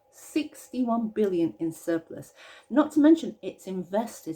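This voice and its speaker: A woman with a British accent talks at a moderate pace in a dark, mellow tone. Her pitch swings very widely. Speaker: pensions campaigner. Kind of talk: casual talk to camera.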